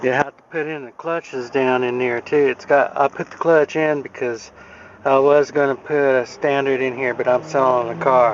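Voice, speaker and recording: Over noticeable background noise, a man at a medium pitch speaks at a moderate pace with fairly even intonation. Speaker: car hobbyist. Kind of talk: casual how-to explanation to camera. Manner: stuttering.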